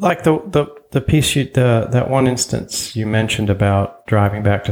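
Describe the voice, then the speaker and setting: At a moderate pace, a man speaks in a fairly low, somewhat breathy voice. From Germany, moved to US at age ten. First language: German. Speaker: podcast host. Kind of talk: interview.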